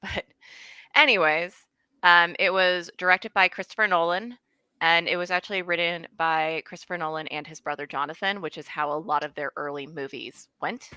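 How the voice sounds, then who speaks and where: A woman's fairly low, bright and sharp voice with big swings in loudness, dry and close with no echo, on a very clean recording with a silent background. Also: ordinary pitch variation, moderate pace. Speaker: movie club host. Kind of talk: panel discussion.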